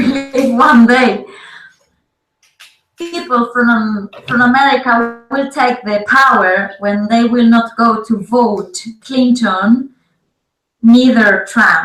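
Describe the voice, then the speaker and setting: A woman with a Spanish accent talks at a very slow pace with ordinary pitch variation, pausing long and often. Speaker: interpreter and co-host. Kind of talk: casual chat with live interpretation. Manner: halting.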